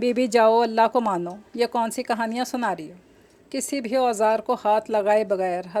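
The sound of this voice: This unforced reading voice keeps its intonation fairly even.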